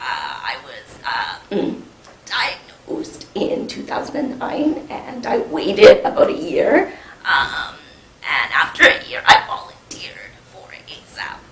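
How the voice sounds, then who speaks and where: Whispering at a very slow pace, the speaker swings widely in loudness, with audible room echo. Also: woman. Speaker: peer research associate and women's health coordinator. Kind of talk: presentation. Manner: halting, many fillers.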